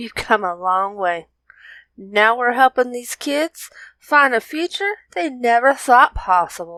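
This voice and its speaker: A female-sounding voice puts on a character with a Southern US accent, pitched high and moving at a fairly slow pace. The recording is very clean, with a silent background. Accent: Southern US drawl. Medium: read story.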